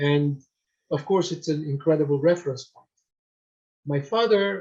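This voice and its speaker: With a dark, mellow tone, a man speaks at a fairly high pitch and a moderate pace, using ordinary pitch variation. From Syria. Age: 60s. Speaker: nonprofit founder and retired karate practitioner. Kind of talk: lecture. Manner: halting, many fillers.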